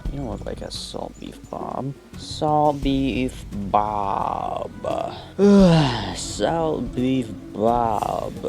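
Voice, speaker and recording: A man talks quietly at a very slow pace, his loudness swinging widely. Music plays in the background, and the room echo is audible. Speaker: gaming video creator. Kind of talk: let's play commentary. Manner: animated.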